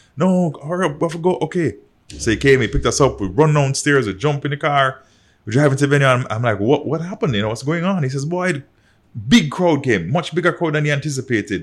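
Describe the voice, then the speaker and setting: Very fast and somewhat breathy, a man talks with lively intonation at a fairly high pitch in a very clean recording with a silent background. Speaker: artist manager and author. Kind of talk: casual chat.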